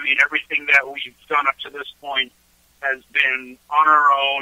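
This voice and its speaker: A man with an American accent at a moderate pace. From Florida. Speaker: singer-songwriter and construction worker. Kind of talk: interview. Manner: halting, many filler words.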